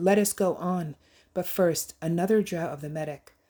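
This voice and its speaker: A female-sounding put-on character voice at a middle pitch and moderate pace, on a very clean recording with a silent background. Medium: read story. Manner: proud, dismissive.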